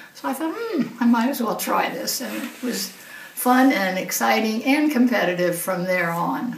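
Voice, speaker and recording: Over noticeable background noise, a woman with a fairly high pitch speaks at a moderate pace with lively intonation. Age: 80s+. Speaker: retired psychiatrist and masters swimmer. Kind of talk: interview answer.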